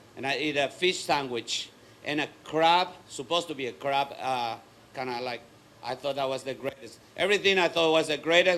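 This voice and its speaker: Fairly quick speech from a man with a fairly high pitch and ordinary pitch variation. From Paraguay. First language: Spanish. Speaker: martial arts school owner and speaker. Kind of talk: motivational talk.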